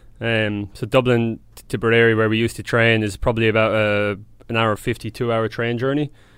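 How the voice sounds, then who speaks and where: The man's loudness swings widely while his intonation stays monotone and flat. He speaks at a fairly quick pace and a medium pitch over a quiet background. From Ireland, County Tipperary. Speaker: professional Australian football player. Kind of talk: casual interview chat.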